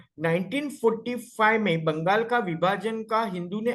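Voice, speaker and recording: This man's voice is pitched high. His intonation is lively. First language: Marathi (speaking Hindi). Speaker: homeopathic doctor and guest lecturer. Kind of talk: lecture. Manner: halting, self-correcting.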